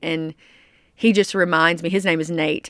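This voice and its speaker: Recorded in a dry, close sound with no echo, a woman with a Southern US accent speaks in a fairly low pitch with fairly even intonation. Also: very clean recording, silent background. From US South, small-town Arkansas. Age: 30s. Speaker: country singer. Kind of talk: interview.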